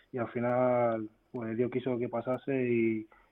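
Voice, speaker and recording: Very slowly and in a flat monotone, a man speaks at medium pitch. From Spain. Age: young. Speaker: footballer. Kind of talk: radio interview. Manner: halting.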